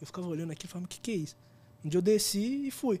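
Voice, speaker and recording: A dark, mellow tone with lively intonation. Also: man. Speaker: photographer and former band drummer. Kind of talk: casual chat.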